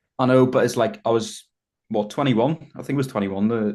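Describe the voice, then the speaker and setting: Against a quiet background, a man with a Northern Irish accent talks fairly quickly in a dark, mellow tone, his pitch moving in an ordinary way. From Northern Ireland, Belfast. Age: 20s. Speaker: bodybuilder. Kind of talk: podcast interview.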